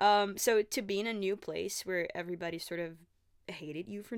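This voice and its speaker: On a very clean recording with a silent background, a woman with a Portuguese accent speaks at a moderate pace. Her voice sits at a medium pitch with fairly even intonation. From Brazil. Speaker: podcast host. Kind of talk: casual solo chat. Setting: home.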